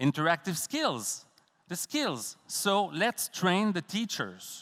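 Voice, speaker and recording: A man's bright, sharp voice in a Quebec accent at a very slow pace, dry and close with no echo, on a very clean recording with a silent background. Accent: Québécois French accent in English. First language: French. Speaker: professor. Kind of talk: conference talk. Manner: halting.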